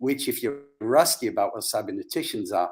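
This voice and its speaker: This is a man's voice. His speech carries an English accent. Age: 70s. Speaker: psychologist and brain reprogramming practitioner. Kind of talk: interview. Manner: animated.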